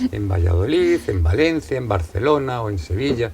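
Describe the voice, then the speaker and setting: In a Madrid accent, a man speaks with a somewhat breathy voice. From Madrid, Spain. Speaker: novelist. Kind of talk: interview.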